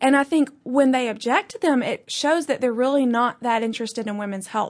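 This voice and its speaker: Talking at a fairly quick pace with hardly any pauses, a woman with an Alabama accent uses a high pitch and ordinary pitch variation. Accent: Southern US (Alabama). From US South (Birmingham, Alabama). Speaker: podcast producer and pro-life activist. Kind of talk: interview. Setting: studio.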